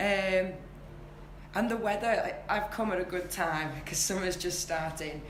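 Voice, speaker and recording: Medium-pitched woman's voice in a strong northwest English accent, with fairly even intonation, a fairly slow pace, audible room echo and noticeable background noise. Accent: strong regional northwest English. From northwest England, St Helens. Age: 20s. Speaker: English teacher. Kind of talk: interview. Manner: repeats words, stumbling starts.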